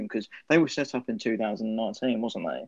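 A man with an English accent speaks against a quiet background. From England. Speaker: podcast co-host. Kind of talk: casual interview.

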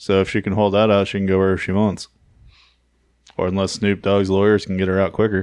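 A man mumbles at a fairly quick pace in a fairly low pitch, his intonation monotone and flat, with long, frequent pauses against a quiet background. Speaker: wrestling podcast co-host. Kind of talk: casual chat. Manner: mumbling.

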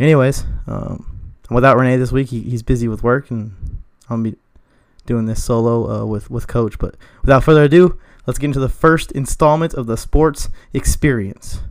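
At a moderate pace, a man with an ordinary speaking voice talks in a medium pitch with ordinary pitch variation. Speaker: podcast host. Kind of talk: podcast intro and outro.

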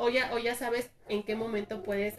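A woman at a moderate pace with fairly even intonation, amid noticeable background noise. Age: 30s. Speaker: tattoo artist. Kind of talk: casual chat.

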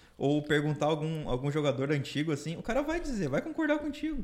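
A man talks at a very fast pace in a fairly high voice. His intonation is lively. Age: 20s. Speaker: podcast guest. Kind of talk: casual chat.

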